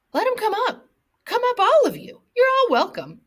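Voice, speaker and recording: A woman uses a put-on, squeaky character voice at an extremely high pitch. She keeps a moderate pace while her loudness swings widely. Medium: read story. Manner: smooth, falsely genial.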